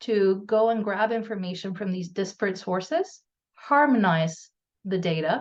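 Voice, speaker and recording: Against a quiet background, a woman speaks at a moderate pace with medium pitch, ordinary pitch variation and a plain, everyday voice. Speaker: audio company research executive. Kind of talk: webinar presentation. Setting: video webinar.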